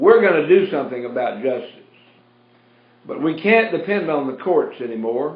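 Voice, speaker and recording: A man speaks with a Southern US accent. There is audible echo in the room. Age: 70s. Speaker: radio host, pastor. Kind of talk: talk radio monologue. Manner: animated.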